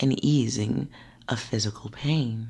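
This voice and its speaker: A soft-spoken voice talks at a very slow pace. The background is quiet. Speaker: ASMR narrator. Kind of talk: soft-spoken ASMR narration. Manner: soft-spoken, calming.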